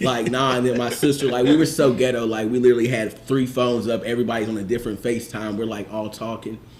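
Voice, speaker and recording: A man talks at a very fast pace with hardly any pauses, his voice carrying audible room echo over noticeable background noise. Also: fairly even intonation. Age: 30s. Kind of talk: casual chat.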